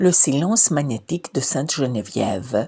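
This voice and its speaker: A woman speaks with a non-native accent at a very slow pace. Her voice is somewhat breathy. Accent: foreign accent in French. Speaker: researcher. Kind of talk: personal literary narration.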